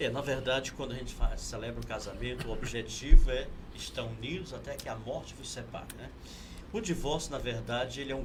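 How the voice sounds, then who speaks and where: The pace is moderate. Room echo can be heard. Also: man. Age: 50s. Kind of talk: interview.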